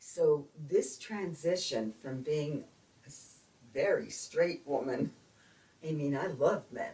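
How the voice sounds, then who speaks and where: A woman with an American accent speaks at a very slow pace, with long, frequent pauses. Her loudness swings widely. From Brooklyn, New York. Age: 70s. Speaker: retired speech pathologist. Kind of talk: interview answer.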